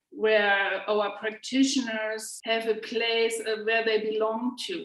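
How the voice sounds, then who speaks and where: A woman with a German accent and a fairly high pitch, in audible room echo. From Germany. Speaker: healing practitioner and instructor. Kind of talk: interview. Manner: halting.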